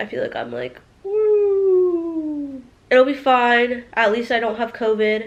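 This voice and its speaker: Loud and high-pitched, a woman's voice comes through. Her intonation is lively. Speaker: vlogger. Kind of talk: personal vlog monologue. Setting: recording alone to camera.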